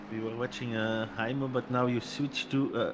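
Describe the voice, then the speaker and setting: A man speaks at a moderate pace. He has a Flemish accent. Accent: Flemish Dutch accent in English. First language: Dutch. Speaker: sim racing commentator. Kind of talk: live commentary.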